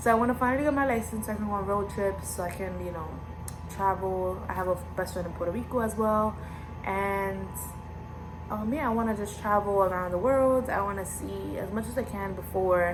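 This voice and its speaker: With music in the background and audible room echo, a woman speaks in an animated tone with an American accent. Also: fairly quick pace. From US, Dominican parents. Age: 20s. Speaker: YouTuber, college student. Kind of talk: casual vlog Q&A. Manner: animated, filler-heavy.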